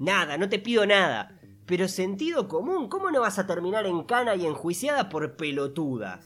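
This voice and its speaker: A high-pitched man talks with lively intonation. His pace is moderate. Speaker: podcast co-host. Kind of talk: casual chat. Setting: remote recording.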